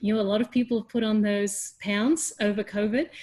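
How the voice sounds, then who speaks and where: Somewhat breathy and fairly high in pitch, a woman with an Australian accent speaks at a moderate pace. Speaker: education leader and teacher. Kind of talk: webinar panel discussion.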